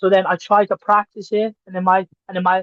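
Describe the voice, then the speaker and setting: In a Welsh accent, a man with a high-pitched voice speaks at a fairly quick pace. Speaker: professional wrestler. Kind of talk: casual chat.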